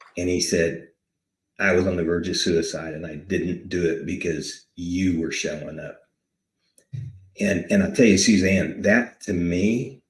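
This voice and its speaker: A man speaks in a very deep, low, somewhat breathy voice. His pace is fairly slow, with ordinary pitch variation and long, frequent pauses. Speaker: war veteran. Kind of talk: interview, emotional personal testimony. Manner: halting, repeating words.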